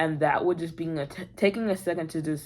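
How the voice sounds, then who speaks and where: In a very clean recording with a silent background, a woman speaks at a moderate pace in a fairly low pitch and a calm tone. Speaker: vlogger. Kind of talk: casual chat.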